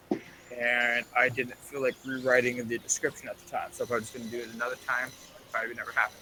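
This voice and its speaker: Over noticeable background noise, a man rushes at a very fast pace with hardly any pauses, his medium-pitched voice flat and monotone while the loudness swings widely. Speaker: gaming streamer. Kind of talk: casual let's-play chat.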